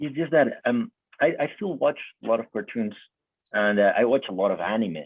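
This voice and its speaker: A man of medium pitch with a Spanish accent, at a fairly quick pace, with very wide pitch swings and long, frequent pauses. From Colombia. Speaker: interviewer. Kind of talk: interview. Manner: halting.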